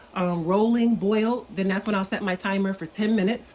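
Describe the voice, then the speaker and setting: A woman speaks at a fairly quick pace with fairly even intonation over noticeable background noise. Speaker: home canning video creator. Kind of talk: tutorial. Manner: casual, with many fillers; lowered voice, quieter.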